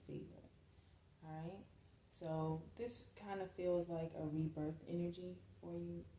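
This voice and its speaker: Soft-spoken and very deep, low in pitch, a woman talks over noticeable background noise. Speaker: tarot or spiritual reader. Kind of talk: spiritual reading. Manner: hesitant, with many fillers.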